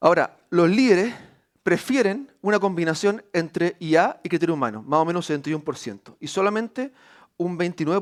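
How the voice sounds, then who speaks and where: Lively in intonation, a man speaks at a fairly quick pace. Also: very clean recording, silent background. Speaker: university executive. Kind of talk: conference talk. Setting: stage with audience. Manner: fast; hesitant fillers.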